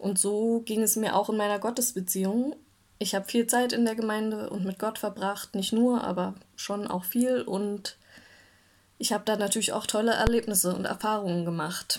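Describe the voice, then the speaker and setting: Over a silent background in a very clean recording, a woman with an ordinary speaking voice talks at a moderate pace, fairly high in pitch, with fairly even intonation. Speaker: church devotional speaker. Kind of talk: devotional talk.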